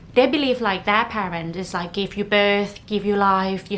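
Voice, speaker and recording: Over noticeable background noise, a woman with a non-native accent speaks at a medium pitch and a moderate pace. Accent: non-native English speaker. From northern Thailand, Chiang Mai. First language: Thai. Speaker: podcast host. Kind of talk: casual podcast monologue.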